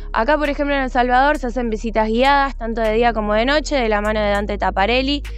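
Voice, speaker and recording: The recording is dry, with no echo. A woman talks over faint music in the background. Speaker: TV culture segment host. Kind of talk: tour guide presentation. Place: open country.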